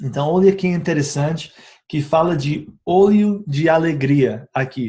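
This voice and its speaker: A man's dark, mellow voice sits fairly high in pitch. He talks at a fairly slow pace with ordinary pitch variation. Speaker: essential oils educator. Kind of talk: informal video tutorial. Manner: halting, many filler sounds.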